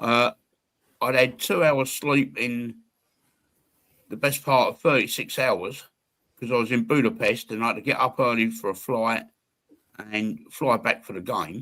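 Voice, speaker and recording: A bright, sharp tone at a fairly slow pace, with ordinary pitch variation and long, frequent pauses, on a very clean recording with a silent background. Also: man, medium pitch for a man. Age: 60s. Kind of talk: casual chat. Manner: animated.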